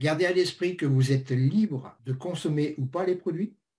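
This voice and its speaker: A man speaks at a moderate pace in a fairly high pitch with ordinary pitch variation. His tone is dark and mellow, and somewhat breathy. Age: 60s. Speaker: network marketing presenter. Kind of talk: sales pitch. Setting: webinar.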